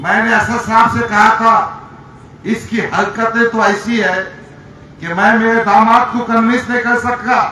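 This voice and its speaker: A raised, projected voice carries through the recording. Noticeable background noise and audible room echo surround it. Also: man, extremely high pitch for a man. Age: 60s. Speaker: politician. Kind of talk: political rally speech. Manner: animated.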